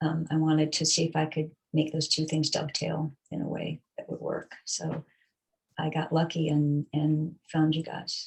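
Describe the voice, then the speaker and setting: A woman's very deep, low, somewhat breathy voice moves at a moderate pace in a monotone, flat intonation. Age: 60s. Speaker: fitness client. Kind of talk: interview. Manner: hesitant, many fillers.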